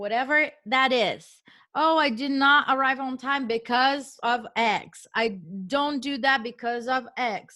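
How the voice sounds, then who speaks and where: On a very clean recording with a silent background, a woman with a Portuguese accent speaks very slowly in a raised, projected voice, high in pitch, bright and sharp in tone, with fairly even intonation. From Brazil. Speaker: real estate investor. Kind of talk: interview. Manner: emphatic.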